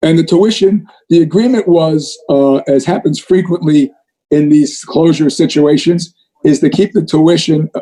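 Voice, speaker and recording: With ordinary pitch variation, a man speaks at a moderate pace in a dark, mellow tone. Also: fairly high pitch for a man. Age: 70s. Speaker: priest and school leader. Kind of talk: town hall Q&A. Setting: outdoors. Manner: halting.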